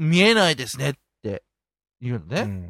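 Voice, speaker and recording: A man in a very clean recording with a silent background, dry and close with no echo. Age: middle-aged. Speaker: podcast host. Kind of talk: casual chat.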